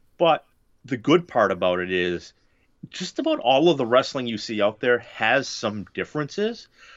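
Using an unremarkable speaking voice, a man talks at medium pitch and a moderate pace with lively intonation. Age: 30s. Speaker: wrestling podcaster. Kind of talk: casual chat.

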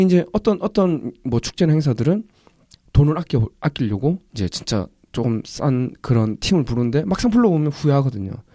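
In a dry, close sound with no echo, a man speaks at a moderate pace with fairly high pitch, very wide pitch swings and a dark, mellow tone. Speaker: indie band singer. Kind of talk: casual chat.

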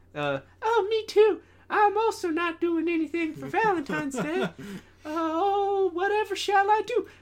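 A put-on character voice, extremely high in pitch, at a fairly slow pace. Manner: breezy, teasing.

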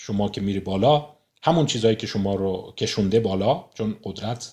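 The man's voice is somewhat breathy. He talks at a moderate pace with ordinary pitch variation. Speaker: book discussion host. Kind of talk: lecture.

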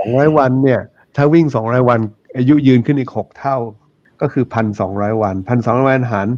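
A normal speaking voice from a man, medium in pitch with ordinary pitch variation. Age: 60s. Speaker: economist. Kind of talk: interview.

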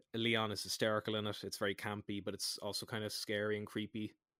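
A man talks at a very fast pace, his pitch fairly low and his tone bright and sharp. The sound is dry and close with no echo, in a very clean recording with a silent background. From Ireland. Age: 20s. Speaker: podcast co-host. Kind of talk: casual chat.

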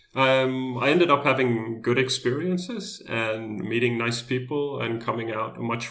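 Audible room echo surrounds a man with a Danish accent, who speaks at a fairly slow pace in a medium pitch. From Denmark. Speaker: world traveler. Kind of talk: interview.

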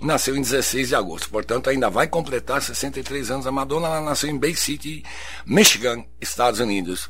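At a moderate pace, a man speaks in a medium-pitched voice with ordinary pitch variation. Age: 60s. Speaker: radio host. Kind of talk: radio show presenting. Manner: halting.

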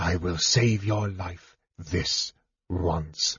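A man's quiet put-on character voice, low-pitched and fairly bright with a husky, rough edge, at a very slow pace. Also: ordinary pitch variation.

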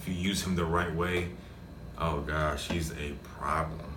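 A man's very deep, low voice with an American accent and monotone, flat intonation, amid noticeable background noise and audible room echo. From Dallas-Fort Worth, Texas. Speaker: podcast host and professional basketball player. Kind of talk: solo sports analysis monologue. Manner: casual, with fillers and repetitions.

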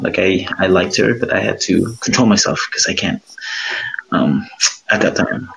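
Noticeable background noise runs under this man's moderate pace. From Philippines. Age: 20s. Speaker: livestream host. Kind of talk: casual chat.

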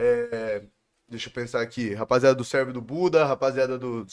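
This man speaks at a moderate pace in a medium pitch, with a plain, everyday voice. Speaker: music manager. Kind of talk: casual chat.

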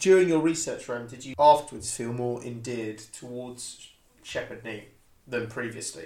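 With a dark, mellow tone, a man speaks at a moderate pace while his loudness swings a lot. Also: medium pitch for a man, ordinary pitch variation. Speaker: podcast host. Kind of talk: casual chat.

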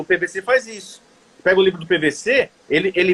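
A man's high-pitched voice at a fairly slow pace, dry and close with no echo. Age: 40s. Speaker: sports journalist. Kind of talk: casual interview chat. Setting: video call.

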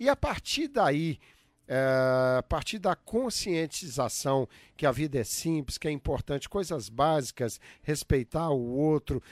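Here a man speaks at a very slow pace with a fairly high pitch and ordinary pitch variation. The recording is very clean, with a silent background. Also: dry, close sound with no echo. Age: 60s. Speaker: radio host. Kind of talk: radio talk show.

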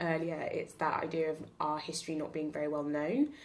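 A woman with a British accent at a moderate pace. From England, UK. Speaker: podcast co-host. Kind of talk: casual chat.

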